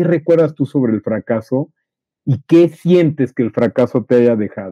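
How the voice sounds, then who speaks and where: Speaking at a moderate pace, a man uses a medium pitch. He has a Mexican accent and lively intonation. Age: 50s. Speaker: podcast co-host. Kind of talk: casual chat. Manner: stammering repetitions.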